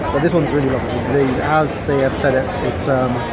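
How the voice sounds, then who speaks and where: Over crowd noise in the background, a man talks at a moderate pace. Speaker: wine reviewer. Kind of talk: casual vlog chat. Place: bar. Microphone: phone near.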